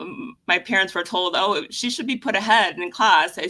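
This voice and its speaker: Her tone bright and sharp, a woman with a medium pitch speaks with lively intonation. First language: Spanish. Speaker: lawyer. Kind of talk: interview. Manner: hesitant, many fillers.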